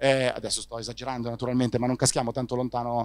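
The sound is dry, with no echo. A man with a medium-pitched voice speaks at a very fast pace. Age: 30s. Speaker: startup founder and CEO of a news platform; CEO of a news platform. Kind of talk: interview. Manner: halting, frequent fillers and repetitions. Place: hall. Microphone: handheld.

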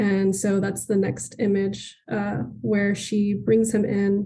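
Over light background noise, a woman with an American accent talks with fairly even intonation. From Laredo, Texas (US–Mexico border); Texas. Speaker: artist and high school teacher; high school teacher. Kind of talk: artist talk. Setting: video call from home studio. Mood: warm, engaged. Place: studio. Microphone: video call.

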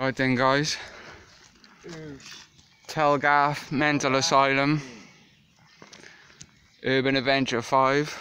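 Very slow and full of long, frequent pauses, a man speaks in a monotone, flat intonation. The sound is dry with no echo. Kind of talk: casual vlog chat. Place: open country. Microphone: phone near.

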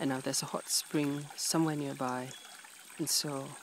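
A man whispers in a soft-spoken way. The sound is dry with no echo, over light background noise. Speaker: PhD researcher doing fieldwork. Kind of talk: nature documentary-style commentary to camera. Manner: whispered, soft-spoken. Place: waterside. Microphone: phone near.

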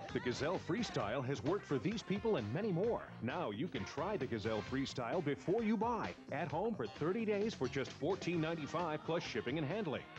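Music plays in the background as a man talks with hardly any pauses. His pitch makes very wide swings. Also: fairly high pitch for a man, fairly quick pace, very even loudness. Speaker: announcer. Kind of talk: TV commercial voice-over.

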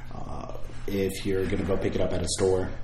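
A man talks with fairly even intonation. Audible room echo and light background noise are present. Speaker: product reviewer. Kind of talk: casual review chat. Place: home room. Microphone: camera far.

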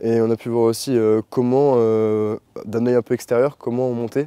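The tone is dark and mellow, with monotone, flat intonation. The sound is dry with no echo. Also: man. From France, Chartres; France. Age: young. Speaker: equestrian trainee. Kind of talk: testimony. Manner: halting, many fillers. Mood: calm, pleased. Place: open country.

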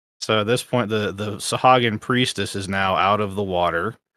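What's heard is plain reading aloud.

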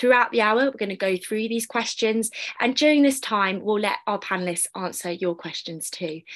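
Against a quiet background, a woman is speaking. She talks at a fairly quick pace with ordinary pitch variation. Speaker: panel moderator. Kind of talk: moderated online panel. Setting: video call. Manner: formal. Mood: friendly, upbeat. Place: home room. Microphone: video call.

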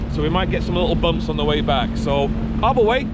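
A man talks at a very fast pace. The sound is dry with no echo, over loud background noise. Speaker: vlogger. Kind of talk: casual vlog chat. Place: boat. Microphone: phone near.

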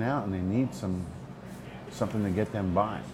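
The pitch shows ordinary variation, heard against noticeable background noise. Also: man. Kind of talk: interview answer. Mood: calm, earnest. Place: bar.

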